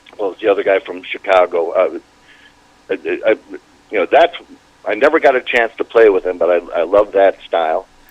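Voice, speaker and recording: Noticeable background noise accompanies a speaker with an American accent, who talks at a moderate pace. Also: man. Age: 70s. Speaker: polka musician. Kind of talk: interview. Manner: halting.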